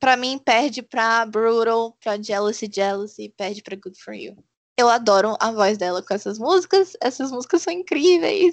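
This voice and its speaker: Against a quiet background, a woman speaks fairly slowly at a fairly high pitch with very wide pitch swings. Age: 20s. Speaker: podcast co-host. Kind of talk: casual chat.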